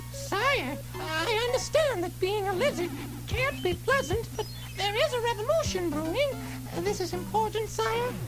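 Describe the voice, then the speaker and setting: The speaker uses a put-on character voice. Loud music plays in the background. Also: moderate pace. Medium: read story.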